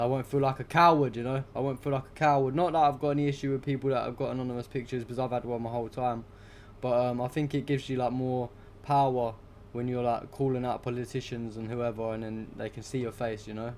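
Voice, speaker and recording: With a British accent, a man at a medium pitch talks at a very fast pace in monotone, flat intonation. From UK. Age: 20s. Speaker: political livestreamer. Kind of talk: casual livestream chat. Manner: casual, filler-heavy.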